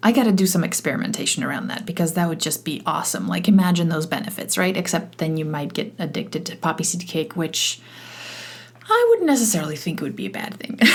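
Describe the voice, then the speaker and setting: Amid noticeable background noise, a woman with a fairly low-pitched voice speaks at a very fast pace with ordinary pitch variation. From Poland, moved to Canada at eleven. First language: Polish. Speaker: podcast host, e-learning consultant. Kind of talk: solo podcast monologue. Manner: casual, with many fillers and restarts.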